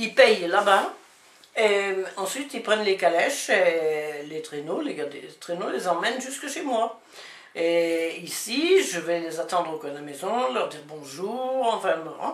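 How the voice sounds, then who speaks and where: Over noticeable background noise and audible room echo, a woman speaks very slowly at medium pitch. Her pitch swings very widely, and her loudness swings a lot too. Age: 70s. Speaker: farmer. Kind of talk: interview.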